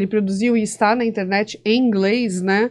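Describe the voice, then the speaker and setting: A woman speaks at a fairly slow pace with a fairly high pitch. Her intonation stays fairly even over a quiet background. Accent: Brazilian. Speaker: podcast host. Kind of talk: interview conversation. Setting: studio. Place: studio. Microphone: studio mic.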